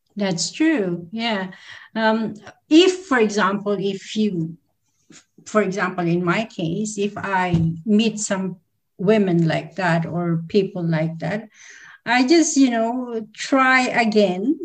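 A woman speaks at a very slow pace in a somewhat breathy voice. Her intonation is lively. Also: medium pitch for a woman. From Philippines. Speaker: entrepreneur and events manager. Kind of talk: interview. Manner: hesitant, many fillers.

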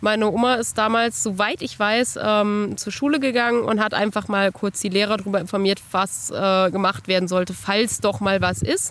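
A woman with a plain, everyday voice, fairly high in pitch, ordinary pitch variation and a moderate pace. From Germany, northern Hesse (Bad Arolsen). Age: 20s. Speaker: children's book author. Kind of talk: personal testimony interview. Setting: outdoors on a bench.

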